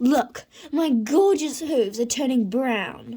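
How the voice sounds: Loud and in a put-on character voice, a woman speaks at a slow pace with a high pitch, a dark, mellow tone, a slightly husky edge, and lively intonation.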